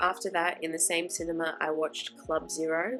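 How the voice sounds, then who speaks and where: Through noticeable background noise comes a woman's very deep, low-pitched voice. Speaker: film vlogger. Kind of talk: vlog voice-over narration. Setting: home recording on old equipment.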